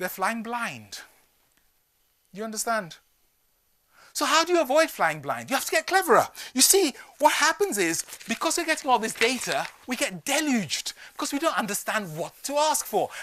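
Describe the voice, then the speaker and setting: Extremely high in pitch, a man's raised, projected voice has an animated, bright, sharp tone, very wide pitch swings and long, frequent pauses. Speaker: business speaker. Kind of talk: keynote talk. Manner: fast.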